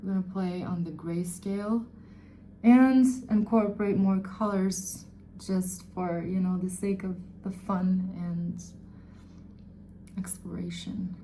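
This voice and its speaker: At a very slow pace, with long, frequent pauses, the speaker has a non-native accent and a somewhat breathy, dark, mellow tone. Room echo is audible. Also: woman, medium pitch for a woman. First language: not English. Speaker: beauty vlogger. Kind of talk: tutorial. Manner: halting; casual.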